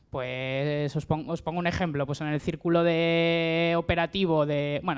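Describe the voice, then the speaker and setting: A woman's fairly low, flat, monotone voice on a very clean recording with a silent background. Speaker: member of an agroecological collective. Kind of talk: panel talk.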